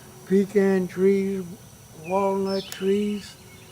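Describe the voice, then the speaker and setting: Noticeable background noise runs under this recording. A man speaks in a high pitch with an American accent. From US South. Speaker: family elder. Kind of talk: family oral history.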